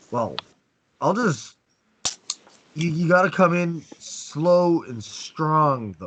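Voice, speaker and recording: A man speaks at a very slow pace in a high voice, with lively intonation, big swings in loudness, and long, frequent pauses. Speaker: dating coach. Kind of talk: online class. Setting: video call. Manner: halting, repeats words; slow, strong demonstration voice.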